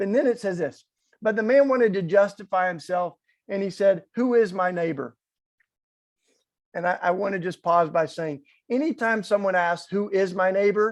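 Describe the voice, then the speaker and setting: This man speaks with a strong Southern US accent in a high voice at a moderate pace. He leaves long, frequent pauses against a quiet background. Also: ordinary pitch variation. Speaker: activist speaker. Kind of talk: inspirational talk.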